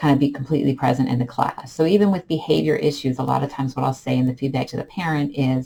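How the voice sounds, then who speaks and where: A woman talks at a very fast pace in a very deep, low pitch with ordinary pitch variation. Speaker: online English teacher. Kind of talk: vlog tips talk. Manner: calm.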